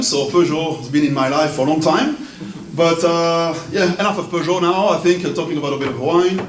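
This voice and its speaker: A man with a French accent at a fairly high pitch and moderate pace, amid audible room echo and noticeable background noise. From France. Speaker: wine importer. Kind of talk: event speech.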